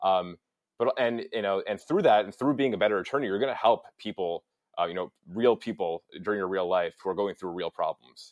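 A man speaks at a fairly quick pace with a plain, everyday voice. His pitch is fairly low, with ordinary variation. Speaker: college mock trial competitor. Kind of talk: casual chat. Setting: video call.

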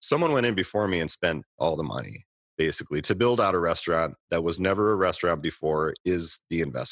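A man with a very deep, low pitch talks at a fairly quick pace with vocal fry and lively intonation. The sound is dry and close, with no echo. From Minnesota, Twin Cities. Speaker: restaurant owner. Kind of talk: interview.

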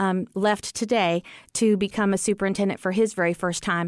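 A woman speaks with an American accent at a medium pitch. Her pace is fairly quick and her intonation fairly even. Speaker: school superintendent. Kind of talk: panel discussion. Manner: confident, assertive.

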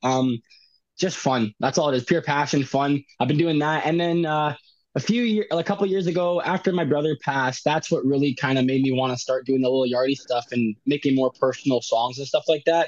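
An unremarkable speaking voice, this man talks fairly quickly at a fairly high pitch with ordinary pitch variation and a Canadian accent, in a dry, close sound with no echo. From Winnipeg, Canada. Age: 20s. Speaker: rapper. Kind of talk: interview.

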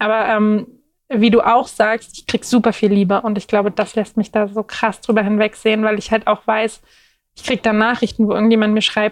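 A woman talks at a very fast pace in a fairly high pitch, with monotone, flat intonation. The recording is dry and close, with no echo. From Berlin, Germany. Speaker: plus-size model. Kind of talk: casual interview chat.

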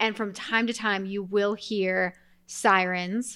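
In an American accent, a woman uses a plain, everyday voice with a fairly high pitch and fairly even intonation, in a very clean recording with a silent background. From Colorado. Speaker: podcast co-host, architect. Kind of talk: casual chat. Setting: home recording.

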